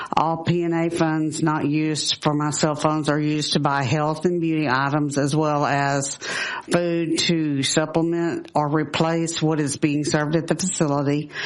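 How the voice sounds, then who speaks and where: Speaking at a moderate pace in a monotone, flat intonation with very even loudness, the voice carries audible room echo over noticeable background noise. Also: woman, very deep, low pitch for a woman. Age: 60s. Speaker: nursing home resident testifying. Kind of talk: legislative testimony, partly read from a letter. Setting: legislative committee hearing. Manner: halting, with restarts.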